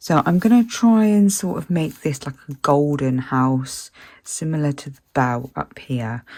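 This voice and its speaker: Speaking at a fairly slow pace, the voice has a dark, mellow tone and a British accent. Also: woman. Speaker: colouring channel host. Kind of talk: casual chat while colouring. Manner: hesitant, many fillers.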